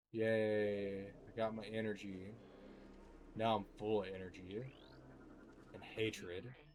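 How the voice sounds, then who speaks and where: A man speaks very slowly at a fairly low pitch with monotone, flat intonation, big swings in loudness, long, frequent pauses and audible room echo. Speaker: video game streamer. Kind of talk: casual gameplay commentary. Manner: upward curl at end of sentences.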